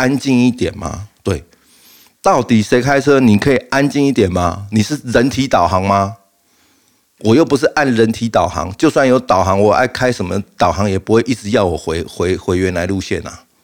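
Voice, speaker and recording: Here a man talks at a moderate pace. His medium-pitched voice has lively intonation. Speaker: podcast host. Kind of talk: casual monologue. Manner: halting, frequent fillers and repeats.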